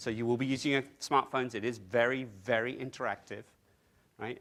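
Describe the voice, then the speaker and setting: A man speaks at a fairly quick pace in a medium pitch, on a very clean recording with a silent background. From England. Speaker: technology consultant presenting at a conference. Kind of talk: conference presentation. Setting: conference room with audience. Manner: fast; animated.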